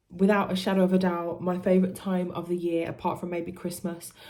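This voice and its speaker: The speaker talks at a fairly quick pace with a British accent. The room adds an audible echo. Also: woman. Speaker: music youtuber. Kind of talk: casual vlog talk to camera.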